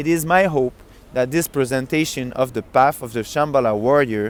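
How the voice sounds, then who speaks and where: Here a man speaks with a French accent. His pitch is medium and varies in an ordinary way. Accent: French accent, noticeable. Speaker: book reader. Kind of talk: reading aloud; casual chat. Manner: halting.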